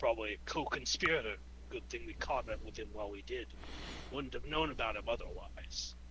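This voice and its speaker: A man performs a put-on character voice at a fairly quick pace. Loud background noise runs underneath. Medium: actual play. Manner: curt, authoritative.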